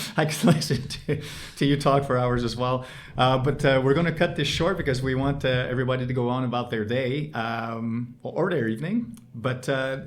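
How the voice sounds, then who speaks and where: A man at medium pitch with ordinary pitch variation and a moderate pace, plus audible room echo and noticeable background noise. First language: French. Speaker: podcast host. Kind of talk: podcast interview. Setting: bar. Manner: hesitant, many fillers.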